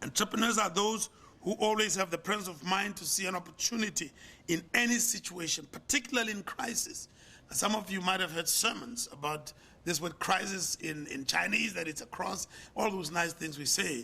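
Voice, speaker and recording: A man's high voice is raised and projected, with lively intonation. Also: moderate pace. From South Africa. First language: not English. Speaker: pastor and business leader. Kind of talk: sermon; lecture.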